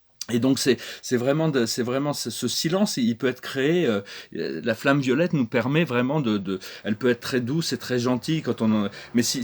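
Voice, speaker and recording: Lively intonation runs through a man's medium-pitched voice. He speaks at a fairly quick pace. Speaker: spiritual channel host. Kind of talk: spiritual talk to camera. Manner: halting, many hesitations and repetitions.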